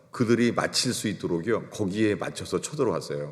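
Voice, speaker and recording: A fairly low-pitched man amid audible room echo. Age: 60s. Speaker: pastor. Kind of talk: sermon.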